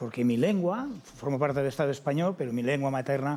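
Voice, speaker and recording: A man with a Catalan accent, fairly high pitch and a fairly quick pace. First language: Catalan (speaking Spanish). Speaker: TV panelist. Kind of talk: TV panel discussion.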